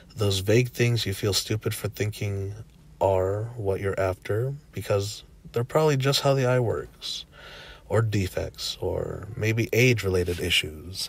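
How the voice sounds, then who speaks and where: A man speaks at a fairly slow pace with a fairly low pitch, sounding somewhat breathy. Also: ordinary pitch variation. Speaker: spiritual channel host. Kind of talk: reading of an online post.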